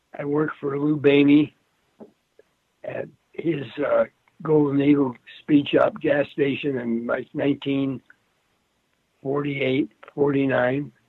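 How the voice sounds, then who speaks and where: Using a monotone, flat intonation, a man with an American accent and fairly high pitch talks at a fairly slow pace with long, frequent pauses. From Los Angeles, US West Coast. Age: 80s+. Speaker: racing engine builder. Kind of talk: interview.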